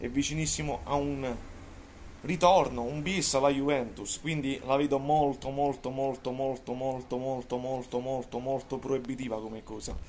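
Amid light background noise, a man speaks at a moderate pace with fairly even intonation. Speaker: football commentator and Juventus fan vlogger. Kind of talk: angry rant. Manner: loud, sarcastic and mocking, ranting with emphatic repetition. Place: kitchen. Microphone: phone near.

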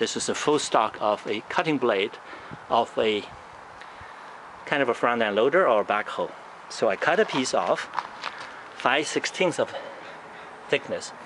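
A man at a fairly slow pace, long and frequent pauses, noticeable background noise behind him. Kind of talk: casual show-and-tell commentary. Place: street. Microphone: phone near.

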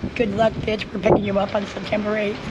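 Against faint background noise, a woman speaks with a dark, mellow tone.

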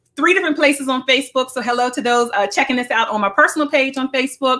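Against a quiet background, a woman speaks at a very fast pace in a raised, projected voice with ordinary pitch variation. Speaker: radio show host. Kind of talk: show host opening. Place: home room.

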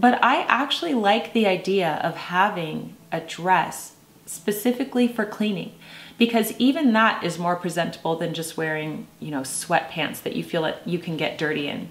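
A woman's medium-pitched voice with lively intonation at a moderate pace, noticeable background noise behind her. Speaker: video host. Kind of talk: scripted-style commentary to camera. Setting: video recording. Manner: formal, polite.

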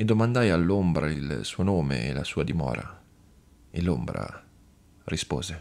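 At a very slow pace, the speaker uses a dramatic tone with lively intonation and vocal fry. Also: man. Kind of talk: scripted narration, audiobook reading of a horror tale. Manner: slow, hushed, ominous, with eerie dramatic pauses building dread.

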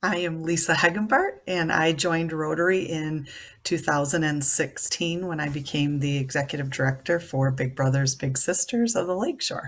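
A woman with an Upper Midwest accent, very deep low pitch, ordinary pitch variation, a moderate pace and hardly any pauses. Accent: Upper Midwest American. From Michigan, US Midwest. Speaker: nonprofit executive director. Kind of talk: self-introduction profile. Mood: friendly, smiling. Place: home room. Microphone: webcam.

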